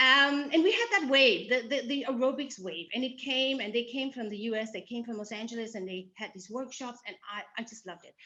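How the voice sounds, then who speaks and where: Noticeable background noise sits behind a fairly quick speaker with a Danish accent, whose loudness swings widely while pitch varies in an ordinary way. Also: woman. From Denmark. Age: 50s. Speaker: breast cancer survivor. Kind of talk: casual interview. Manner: halting.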